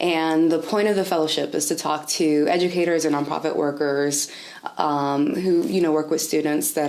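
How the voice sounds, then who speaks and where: A woman with a slight Spanish accent and a very deep, low pitch speaks at a moderate pace with ordinary pitch variation, amid noticeable background noise and audible room echo. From US, raised in North Carolina area by Dominican immigrant parents. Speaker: interviewee, education/nonprofit worker. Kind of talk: oral history interview. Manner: casual, many fillers like 'like' and 'um'.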